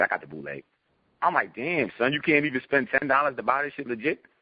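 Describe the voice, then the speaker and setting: Speaking very fast, a man uses an animated tone with vocal fry. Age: 30s. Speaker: rapper. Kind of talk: interview.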